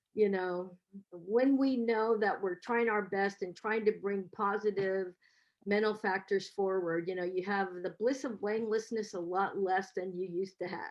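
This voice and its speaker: A plain, everyday voice with an American accent speaks at a moderate pace. The intonation stays fairly even. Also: woman, medium pitch for a woman. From US, San Francisco. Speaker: professor. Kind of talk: webinar talk.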